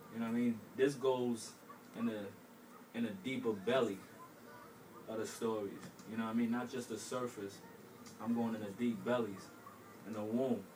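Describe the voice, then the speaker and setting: A moderate pace with long, frequent pauses, monotone, flat intonation and an American accent, amid noticeable background noise and audible room echo. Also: man, medium pitch for a man. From Brooklyn, New York. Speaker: aspiring author. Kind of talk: interview.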